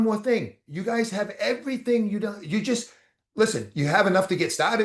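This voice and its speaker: In a Boston accent, a high-pitched man talks at a fairly quick pace with ordinary pitch variation. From Boston, US. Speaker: motivational speaker. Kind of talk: motivational talk. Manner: fast; animated.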